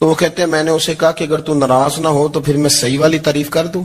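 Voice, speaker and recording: A man's fairly high-pitched voice. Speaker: Islamic preacher. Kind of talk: religious sermon. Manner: emotional.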